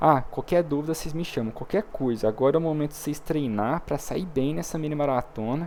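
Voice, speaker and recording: Using a plain, everyday voice, a man speaks fairly quickly at a fairly high pitch with ordinary pitch variation and hardly any pauses. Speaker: programming teacher. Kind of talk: online class.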